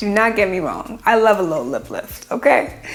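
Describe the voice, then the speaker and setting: A woman at a fairly slow pace with lively intonation, amid noticeable background noise. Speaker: plastic surgeon. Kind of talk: educational vlog. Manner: animated, casual.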